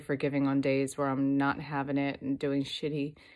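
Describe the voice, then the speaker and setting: A woman's very deep, low voice at a moderate pace, in a very clean recording with a silent background. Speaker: vlogger. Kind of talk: casual vlog. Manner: long pauses; halting.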